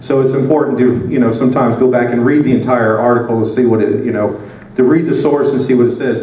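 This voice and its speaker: A man talks very fast in a medium pitch with an American accent, fairly even intonation and very even loudness. Noticeable background noise and audible room echo are present. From US South. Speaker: conference speaker. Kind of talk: conference talk. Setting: conference stage with audience.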